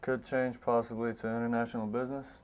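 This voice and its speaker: Speaking at a fairly quick pace, a man delivers his words in a monotone with flat intonation. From Croatia (Split). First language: Croatian. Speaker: college basketball player. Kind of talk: interview.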